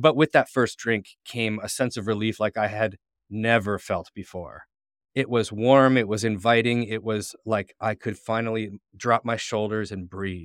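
In an unremarkable speaking voice and a Canadian accent, the speaker talks at a fairly slow pace with fairly even intonation. The recording is very clean, with a silent background and a dry, close sound with no echo. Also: man, medium pitch for a man. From Ontario, Canada (St. Catharines). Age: 40s. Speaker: person in recovery sharing sobriety story. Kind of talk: testimony.

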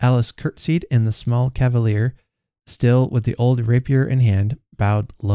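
In an unforced reading voice with fairly even intonation, the speaker is heard against a quiet background.

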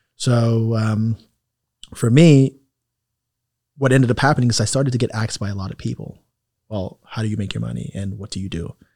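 A man with a New York accent talks at a fairly quick pace with long, frequent pauses and ordinary pitch variation. His medium-pitched voice has a dark, mellow tone, heard in a dry, close sound with no echo. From New York, Queens. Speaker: real estate investor and healthcare business owner. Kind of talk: casual interview.

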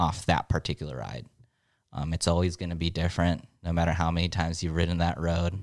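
Speaking very fast with an American accent and vocal fry, this voice keeps a fairly even intonation on a very clean recording with a silent background. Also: man, very deep, low pitch for a man. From Southern California, San Diego. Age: 20s. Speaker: Navy veteran and motorcyclist. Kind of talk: casual chat.

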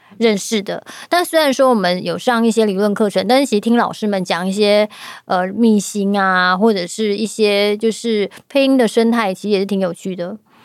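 A woman speaks in an unremarkable speaking voice at a medium pitch and moderate pace. Her pitch variation is ordinary, and the recording is very clean with a silent background. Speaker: podcast host and voice-acting studio organizer. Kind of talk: casual chat.

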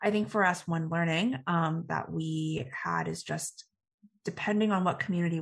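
A woman with an American accent speaks at a moderate pace over a quiet background. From Texas (Dallas suburbs). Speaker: startup founder. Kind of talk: interview. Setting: studio.

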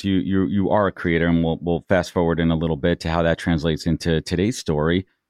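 A man with a very deep, low pitch talks at a very fast pace in a dry, close sound with no echo and a quiet background. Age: 40s. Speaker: podcast host. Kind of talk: interview. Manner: enthusiastic.

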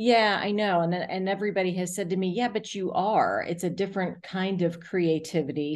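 A woman with an American accent and an ordinary speaking voice, medium pitch, fairly even intonation, fairly quick pace and a quiet background. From US South, South Florida. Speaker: arts nonprofit executive director. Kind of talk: interview.

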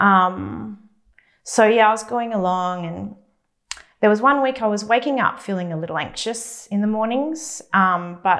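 A woman talks in a normal speaking voice with lively intonation. Her pace is fairly slow. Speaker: church member giving testimony. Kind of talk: testimony.

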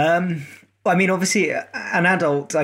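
The voice moves at a moderate pace with ordinary pitch variation. It is an unremarkable speaking voice. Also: man. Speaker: adaptive athlete. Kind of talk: casual interview.

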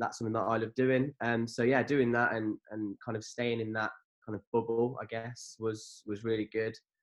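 Speaking in an English accent with hardly any pauses, a man delivers his words at a medium pitch in a monotone, flat intonation. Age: 20s. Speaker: business owner and cheerleader. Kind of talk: casual chat.

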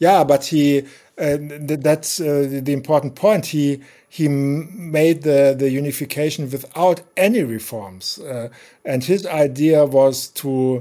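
The voice has a dark, mellow tone and ordinary pitch variation, speaking at a very slow pace with a German accent. The recording is very clean, with a silent background. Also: man, fairly high pitch for a man. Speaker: journalist and biographer. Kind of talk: interview. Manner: halting, many fillers.

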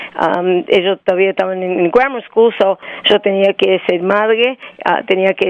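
Medium-pitched woman's voice with fairly even intonation at a moderate pace. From Argentina. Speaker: company CEO. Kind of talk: interview. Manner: halting.

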